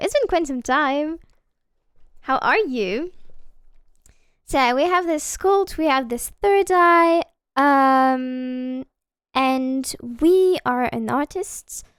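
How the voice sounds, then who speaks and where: Very slow, lively speech from a woman with a high pitch and a non-native accent, in a very clean recording with a silent background. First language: not English. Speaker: video game streamer. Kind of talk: live gameplay stream chat. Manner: casual with many filler hesitations.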